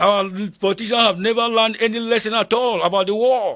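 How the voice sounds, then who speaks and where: A man speaks with a high-pitched voice. His tone is bright and sharp. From northern Nigeria (Kogi State, Igala). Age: 70s. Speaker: war veteran. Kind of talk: interview. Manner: repetitive, halting.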